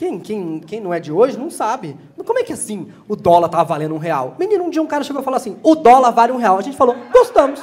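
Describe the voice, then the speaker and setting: An animated man speaks very fast with hardly any pauses, at an extremely high pitch with very wide pitch swings and big swings in loudness. Background noise is noticeable. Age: 40s. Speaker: comedian. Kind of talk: stand-up. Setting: stage with audience.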